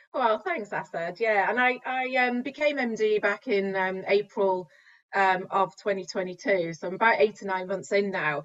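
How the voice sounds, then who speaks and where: A woman in a Mancunian accent, medium in pitch, at a moderate pace with ordinary pitch variation. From northern England, Manchester. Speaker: managing director of a software company. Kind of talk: interview.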